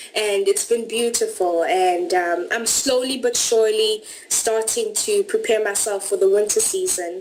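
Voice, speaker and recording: A woman talks at a fairly high pitch and a fairly slow pace with a South African accent and lively intonation. Her loudness stays very even, and there is noticeable background noise. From South Africa, Durban. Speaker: au pair. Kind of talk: interview.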